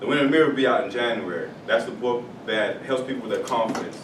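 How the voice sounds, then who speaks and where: Noticeable background noise and audible room echo surround speech whose pitch varies in an ordinary way. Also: man. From South Florida, Haitian family. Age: 30s. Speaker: author and mentor. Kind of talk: talk to schoolchildren. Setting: elementary school classroom. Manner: casual, some hesitations.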